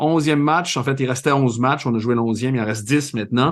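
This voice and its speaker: A man speaks at a medium pitch and a fairly quick pace against a quiet background. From Quebec, Saint-Jérôme. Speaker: soccer podcast host and TV commentator. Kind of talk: casual podcast chat.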